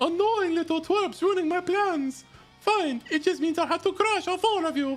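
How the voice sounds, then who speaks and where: A put-on character voice in an Italian accent, extremely high-pitched, at a moderate pace over faint music in the background. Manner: menacing, annoyed.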